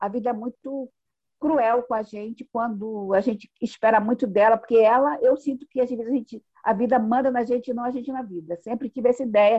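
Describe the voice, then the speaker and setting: High-pitched and at a fairly quick pace, a woman's voice sounds dry and close, with no echo. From Brazilian Northeast, Pernambuco; Rio de Janeiro from age eight. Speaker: artisan and psychologist. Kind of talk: interview, storytelling.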